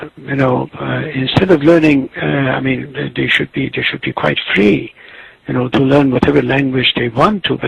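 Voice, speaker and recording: A man with an Azerbaijani accent talks at a moderate pace over noticeable background noise. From Tabriz, Iranian Azerbaijan. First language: Azerbaijani Turkish. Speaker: writer and literary critic. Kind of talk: interview answer.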